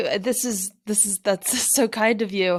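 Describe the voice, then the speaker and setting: A woman with an American accent, an unremarkable speaking voice, ordinary pitch variation and a fairly slow pace. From US South, North Carolina. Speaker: ultramarathon runner. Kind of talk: interview.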